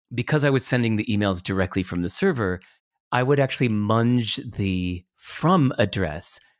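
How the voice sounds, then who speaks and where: Speaking with an American accent, a man with a plain, everyday voice talks at a medium pitch and moderate pace with lively intonation, on a very clean recording with a silent background. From US, California. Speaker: author and entrepreneur. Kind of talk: interview.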